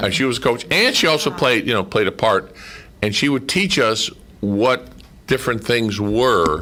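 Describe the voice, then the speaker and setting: This man has a plain, everyday voice at medium pitch and a moderate pace. His intonation is lively while his loudness stays very even. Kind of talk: casual radio interview, recounting memories of a radio drama series.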